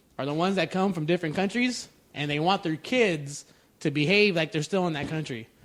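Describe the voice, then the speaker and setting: A man speaks with an American accent in a high voice. His pace is fairly quick, and his pitch varies in an ordinary way. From United States. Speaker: podcast co-host. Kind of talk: casual chat. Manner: halting, many repeated words.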